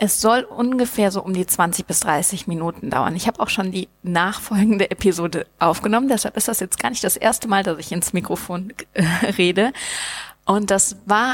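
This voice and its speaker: Speaking in a plain, everyday voice, a woman holds a medium pitch with ordinary pitch variation at a moderate pace. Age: 30s. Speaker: podcast host and startup founder, flight attendant. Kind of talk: solo podcast monologue. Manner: casual, many filler words.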